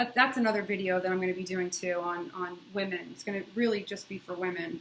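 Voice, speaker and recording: Amid noticeable background noise, a woman races along at a very fast pace with a medium pitch and ordinary pitch variation. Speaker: video blogger sharing drug withdrawal experience. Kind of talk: casual video diary. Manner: halting, with many fillers; quiet.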